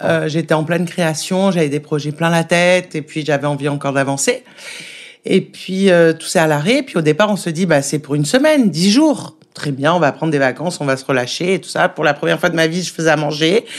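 Her pitch is very deep and low, with ordinary variation. The woman talks at a fairly quick pace. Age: 40s. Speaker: restaurant owner. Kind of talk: interview.

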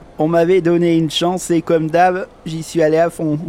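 A man with a high voice speaks in a flat monotone at a fairly slow pace over noticeable background noise. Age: 30s. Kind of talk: personal testimony.

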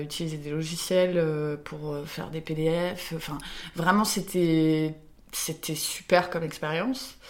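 Speech comes at a very slow pace. Noticeable background noise runs underneath. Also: woman. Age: 20s. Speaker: ceramicist. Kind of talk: interview. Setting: workshop.

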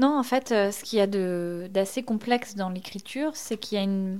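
A woman speaks at a moderate pace with a medium pitch. She has a normal speaking voice, and her intonation is fairly even. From Normandy (Basse-Normandie, Orne). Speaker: novelist. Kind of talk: interview.

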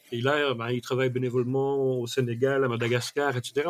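A man's fairly high voice at a moderate pace. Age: 60s. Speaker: trainer and mind mapping expert. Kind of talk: casual interview. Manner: hesitant, many fillers.

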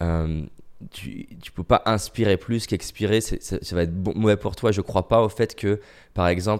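Fairly low in pitch, a man with an unremarkable speaking voice keeps his intonation fairly even. The recording is very clean, its background silent. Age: 30s. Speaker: motivational speaker. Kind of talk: casual chat. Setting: recorded during lockdown.

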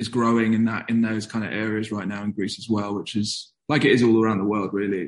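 Speaking at a very fast pace, a man keeps his intonation fairly even at a fairly low pitch. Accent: southern English. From southern England, London commuter belt. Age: 20s. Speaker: skateboarder and writer. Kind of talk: interview conversation.

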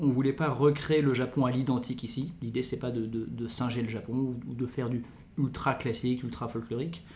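Speaking at a fairly quick pace, a man with a medium pitch sounds somewhat breathy, his intonation fairly even and the room echo audible. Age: 40s. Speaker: entrepreneur. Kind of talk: interview. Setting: recorded on location at his venue. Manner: halting.

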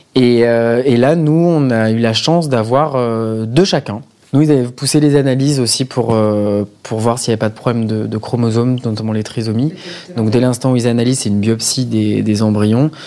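Noticeable background noise behind a man's medium-pitched voice, moderate pace, and ordinary pitch variation. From Marseille, southern France. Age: 30s. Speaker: banker and father. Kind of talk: casual interview. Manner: hesitant, many fillers.

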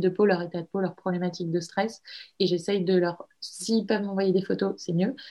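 A woman speaks at a medium pitch with a dark, mellow tone and monotone, flat intonation. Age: 20s. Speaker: entrepreneur, cosmetics brand founder. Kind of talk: interview. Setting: remote call.

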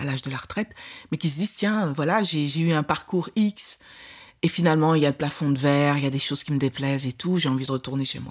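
On a very clean recording with a silent background, a woman with a very deep, low pitch talks at a very fast pace with ordinary pitch variation. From Belgium. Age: 60s. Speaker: film director. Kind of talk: interview.

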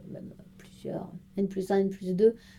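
A woman's dark, mellow tone carries a monotone, flat intonation. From France, Strasbourg (Alsace). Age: 30s. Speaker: corporate intrapreneur, marketing project manager. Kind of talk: interview.

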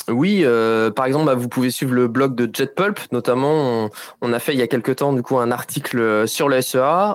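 Heard in a very clean recording with a silent background, a man of medium pitch talks at a moderate pace with ordinary pitch variation. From France, Nantes. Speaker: digital advertising expert. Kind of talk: interview explanation. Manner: hesitant with frequent euh fillers.

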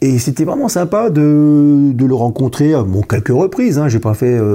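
A man is talking here. His tone is dark and mellow, and his intonation lively. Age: 50s. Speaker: accountant. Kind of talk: interview. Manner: halting, many repetitions.

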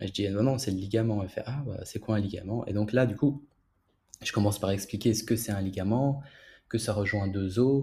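A man speaks at a fairly quick pace in a fairly low pitch, his dark, mellow tone somewhat breathy and his intonation fairly even. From Belgium. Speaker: physiotherapist. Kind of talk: casual interview.

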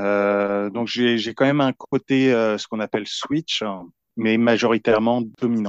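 Against a quiet background, a man with a medium pitch and fairly even intonation speaks at a very slow pace, the sound dry and close without echo. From Paris region, France. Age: 40s. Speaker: IT worker, dominant interviewee. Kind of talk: interview testimony. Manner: halting.

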